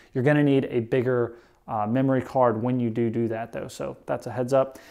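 The background is quiet while the man speaks. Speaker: motovlogger. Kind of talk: tutorial. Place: garage.

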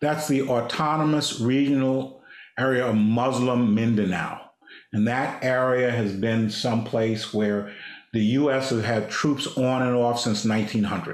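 A man talks at a fairly slow pace. The background is quiet, though room echo is audible. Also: fairly even intonation, very even loudness. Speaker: diplomat, former ambassador. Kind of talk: slide presentation. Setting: video call. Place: office. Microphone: video call.

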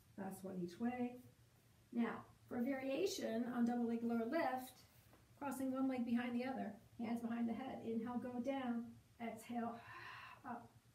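A high-pitched woman at a moderate pace, fairly even in intonation, with long, frequent pauses and audible room echo. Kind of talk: exercise class instruction. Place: home room. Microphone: camera far.

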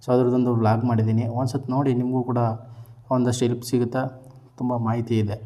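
A man with a medium pitch and a dark, mellow tone speaks in a monotone, flat intonation. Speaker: vlogger. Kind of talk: vlog narration. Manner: casual.

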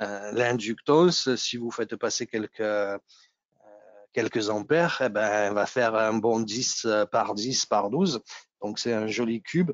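A man with a Nice accent at a very slow pace, with long, frequent pauses and ordinary pitch variation, dry with no echo against a quiet background. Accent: southern French (Nice), noticeable. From Nice, southeast France. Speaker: technical presenter, engineer. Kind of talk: technical webinar presentation. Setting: video call webinar.

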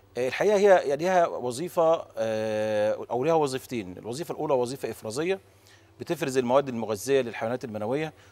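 With lively intonation, the man races through his words at a very fast pace. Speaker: guest. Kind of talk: interview answer. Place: studio. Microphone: lapel.

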